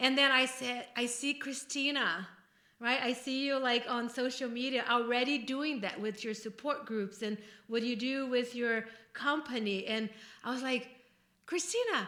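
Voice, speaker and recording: High-pitched woman with a Brazilian accent, fairly even intonation and moderate pace, over noticeable background noise. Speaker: podcast co-host, life coach. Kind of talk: casual chat.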